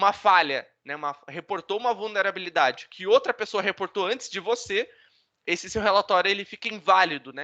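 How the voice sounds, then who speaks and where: The man uses a raised, projected voice. It sits high in pitch with a bright, sharp tone. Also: dry, close sound with no echo. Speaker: bug bounty hacker, speaker. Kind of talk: online talk presentation. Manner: fast; casual.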